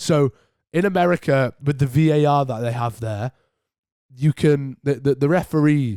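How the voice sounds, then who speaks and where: A man with a British accent at a moderate pace, with ordinary pitch variation. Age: 18. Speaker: podcast host. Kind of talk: casual chat.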